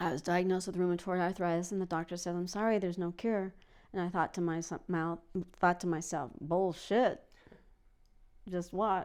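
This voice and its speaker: A woman with a fairly low pitch talks at a moderate pace with long, frequent pauses, in a very clean recording with a silent background. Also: fairly even intonation. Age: 60s. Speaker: yoga teacher. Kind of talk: interview answer.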